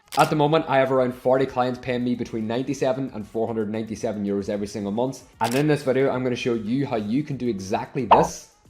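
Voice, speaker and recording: In an Irish accent, a man with a medium pitch rushes along at a very fast pace, hardly pausing, his intonation fairly even. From Ireland. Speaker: online business coach, software reseller. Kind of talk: tutorial.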